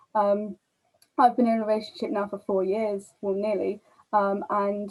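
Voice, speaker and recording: The woman's voice sits at medium pitch. Her intonation is monotone and flat. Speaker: guest. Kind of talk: casual chat. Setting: video call. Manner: fast.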